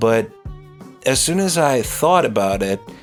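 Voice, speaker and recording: With music playing in the background, a man talks in a Ukrainian accent. He keeps to a fairly slow pace. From Ukraine. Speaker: stand-up comedian, podcast host. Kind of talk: unscripted podcast monologue. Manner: introspective, rambling.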